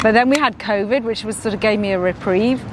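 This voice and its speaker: Over noticeable background noise, a woman speaks at medium pitch with fairly even intonation. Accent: English. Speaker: streamer's mother. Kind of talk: casual chat. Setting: livestream.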